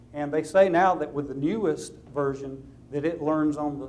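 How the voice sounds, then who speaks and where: A man speaks with a Southern US accent at a fairly high pitch. Audible room echo surrounds his voice. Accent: southern drawl. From US South. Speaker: lawyer. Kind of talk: lecture.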